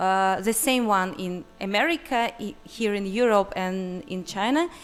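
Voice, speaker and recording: A woman at medium pitch with a non-native accent, fairly slow and lively in intonation, over music in the background. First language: not English. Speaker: audience member. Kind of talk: audience question. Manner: halting.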